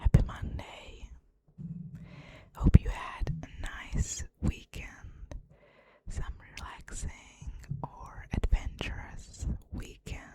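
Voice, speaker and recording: Whispering very slowly, a woman leaves long, frequent pauses. Her volume rises and falls in big swings. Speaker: ASMR creator. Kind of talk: whispered ASMR conversation. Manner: whispered, soft-spoken.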